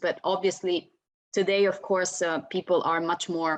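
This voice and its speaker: With an Italian accent, a woman speaks at a fairly low pitch and a fairly slow pace. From Italy. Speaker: panelist. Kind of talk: panel discussion.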